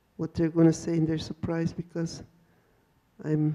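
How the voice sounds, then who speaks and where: A woman's fairly low, dark and mellow voice at a moderate pace, flat and monotone in intonation. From First Nations community, Canada. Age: 70s. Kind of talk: panel talk. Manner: halting, with repeated words.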